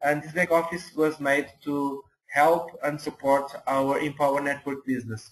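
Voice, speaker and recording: Speaking with a non-native accent, a man keeps a fairly high pitch, a moderate pace and monotone, flat intonation. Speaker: network marketing mentor. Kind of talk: webinar presentation. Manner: halting, many hesitations.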